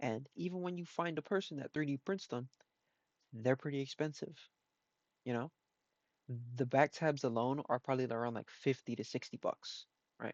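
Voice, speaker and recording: The speech comes out mumbled. It moves at a moderate pace. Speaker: shoe restorer. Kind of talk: tutorial. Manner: mumbling.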